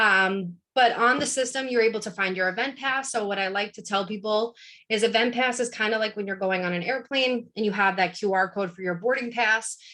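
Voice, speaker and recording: Over a quiet background, a woman with a fairly high, bright and sharp voice speaks fairly quickly with fairly even intonation. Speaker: university student involvement staff presenter. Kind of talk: virtual info session presentation. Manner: fast.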